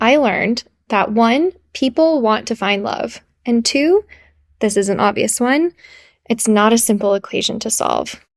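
This woman has an ordinary speaking voice, pitched fairly high, and she speaks at a fairly slow pace. The sound is dry and close, with no echo. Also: ordinary pitch variation. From Texas, Iranian family. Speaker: podcast co-host. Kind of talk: casual chat; scripted narration.

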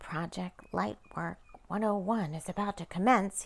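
At a fairly slow pace, a woman does a put-on character voice at a medium pitch. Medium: read story. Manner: quiet, urgent, matter-of-fact.

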